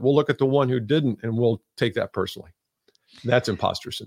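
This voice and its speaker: An ordinary speaking voice from a man at a medium pitch, fairly quick, in a dry, close sound with no echo. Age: 60s. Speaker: sales trainer and author. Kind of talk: interview.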